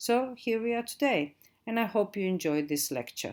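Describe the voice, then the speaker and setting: Her pitch swinging very widely, a woman with a Croatian accent is captured on a very clean recording with a silent background. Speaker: digital marketing trainer. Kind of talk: lecture.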